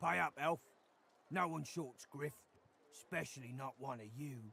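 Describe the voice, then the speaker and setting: A man's put-on character voice, raspy and fairly high-pitched, with ordinary pitch variation and a moderate pace. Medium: video game.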